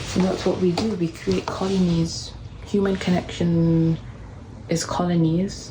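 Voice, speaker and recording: A quiet woman's voice at a fairly slow pace, monotone and flat, with very even loudness and noticeable background noise. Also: fairly low pitch for a woman. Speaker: artist and video creator. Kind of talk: casual vlog update. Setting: art studio with other artists nearby. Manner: quiet, hushed; formal.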